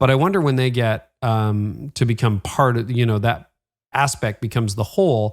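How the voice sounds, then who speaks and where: This very clean recording has a silent background, and a man speaks at medium pitch and a moderate pace in a plain, everyday voice. His pitch varies in an ordinary way, and his loudness stays very even. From Canada. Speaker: podcast host. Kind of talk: interview.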